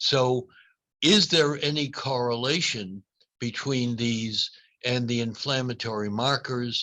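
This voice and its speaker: A man with an American accent speaks at a fairly slow pace. His medium-pitched voice has a bright, sharp tone. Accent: Boston accent, noticeable to some. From US Northeast, Boston. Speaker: neurology professor. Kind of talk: lecture Q&A.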